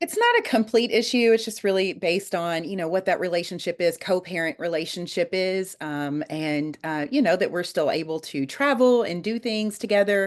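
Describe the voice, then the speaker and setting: Amid noticeable background noise, a woman speaks with lively intonation and hardly any pauses. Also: medium pitch for a woman, moderate pace. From Kentucky. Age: 40s. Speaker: dating show guest. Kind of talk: interview.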